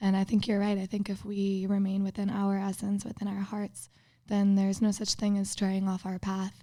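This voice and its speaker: A woman's medium-pitched, dark, mellow voice with a slight Minnesota accent, moving at a fairly quick pace. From Minnesota, US Midwest. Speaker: podcast guest. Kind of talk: casual chat.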